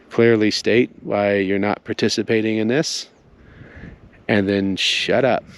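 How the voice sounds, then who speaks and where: Quietly and at a fairly slow pace, a man speaks with a fairly low pitch and fairly even intonation, pausing long and often. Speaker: spiritual teacher. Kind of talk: spoken teaching monologue. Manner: subdued, quiet.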